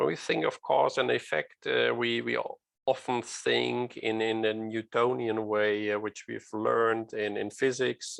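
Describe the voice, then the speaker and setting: The speaker is a man with a non-native accent. He talks rather slowly. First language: non-native English speaker. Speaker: safety culture speaker. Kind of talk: lecture. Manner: halting, many fillers.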